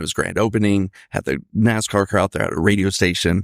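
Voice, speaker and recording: A man's fairly low voice at a fairly quick pace with ordinary pitch variation, dry and close with no echo, on a very clean recording over a silent background. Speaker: podcast guest, first time on a podcast. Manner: rambling, prone to tangents.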